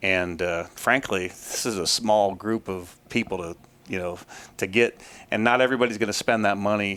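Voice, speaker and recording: A man with an American accent speaks in a bright, sharp tone. His voice is fairly low, with fairly even intonation. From Ohio, US. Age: 50s. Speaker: trapper and trapping instructor. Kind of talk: interview. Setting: trappers convention. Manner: fast-talking.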